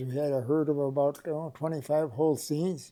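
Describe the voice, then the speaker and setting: A man's fairly high-pitched, monotone, flat delivery at a moderate pace, with an Upper Midwest accent. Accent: Upper Midwest (Minnesota). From Minnesota (Rush City area). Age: 80s+. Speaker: oral history interviewee. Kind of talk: oral history interview. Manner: halting, many fillers.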